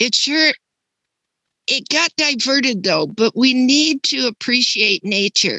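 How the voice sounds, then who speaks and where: Speaking very slowly in a raised, projected voice, a woman uses a high pitch and lively intonation, her tone bright and sharp, her loudness very even, and the sound dry and close with no echo. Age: 80s+. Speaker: webinar attendee. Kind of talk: casual chat. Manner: animated.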